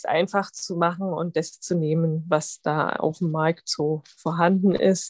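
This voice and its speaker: The sound is dry and close, with no echo. A woman speaks at a very slow pace. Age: 30s. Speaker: physician and mother of twins. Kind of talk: interview.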